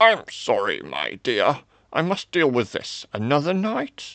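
In a put-on character voice, a man speaks fairly slowly at a fairly high pitch. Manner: warm and jovial, then stern.

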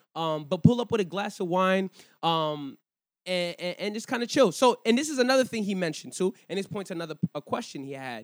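A man's high-pitched voice, lively in intonation and fairly quick in pace, in a very clean recording with a silent background. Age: 30s. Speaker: podcast host. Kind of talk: casual chat. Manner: animated.

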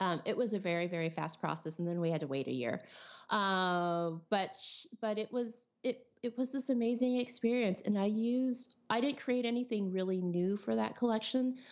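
A woman at medium pitch speaks with a Californian accent. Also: lively intonation, moderate pace. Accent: Californian American. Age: 40s. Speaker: artist and teacher. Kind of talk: casual interview chat.

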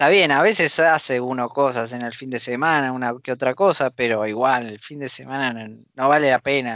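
Ordinary pitch variation marks a man's medium-pitched voice, delivered at a fairly slow pace. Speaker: podcast co-host. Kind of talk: casual chat.

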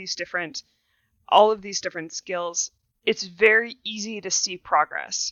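A woman talks at a medium speed in an ordinary speaking voice, her pitch varying in an ordinary way. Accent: American. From Wisconsin, New Glarus. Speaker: welding and metal fabrication instructor. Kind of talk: casual interview.

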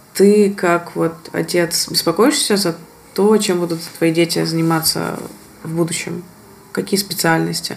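Through noticeable background noise, a woman can be heard speaking fairly slowly. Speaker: podcast host. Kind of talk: casual interview conversation.

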